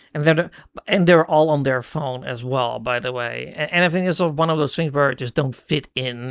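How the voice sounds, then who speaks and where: This man speaks in a medium pitch with ordinary pitch variation. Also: very clean recording, silent background. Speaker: person who stutters. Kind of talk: casual talk to camera. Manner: hesitant, stumbling.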